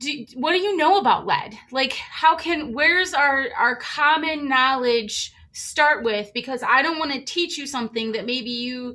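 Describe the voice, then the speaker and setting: A woman speaks at a fairly slow pace in a high, raised, projected voice with lively intonation, over noticeable background noise. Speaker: community advocate. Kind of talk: casual comment in online training. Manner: animated, halting.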